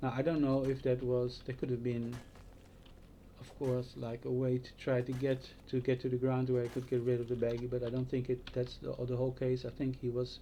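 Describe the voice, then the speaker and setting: A man speaks at a fairly quick pace in a Dutch accent, his pitch medium. His tone is dark and mellow, his intonation flat and monotone. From Netherlands. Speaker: vlogger. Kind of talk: casual monologue. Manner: halting.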